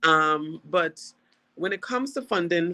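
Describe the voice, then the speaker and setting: With an Anguillan accent, a woman speaks very slowly, her intonation lively. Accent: Anguillan Caribbean English. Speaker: government minister. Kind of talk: panel discussion. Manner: halting.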